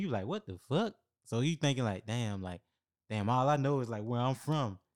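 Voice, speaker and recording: A man with an American accent has a normal speaking voice at medium pitch, with lively intonation and a fairly quick pace. The sound is dry and close with no echo, on a very clean recording with a silent background. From small-city US. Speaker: military veteran and film student. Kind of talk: casual chat.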